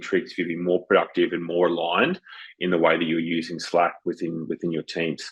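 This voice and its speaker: At a very fast pace, a man speaks with a slight Australian accent. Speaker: business consultant and webinar co-host. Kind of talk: webinar presentation. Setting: virtual online webinar.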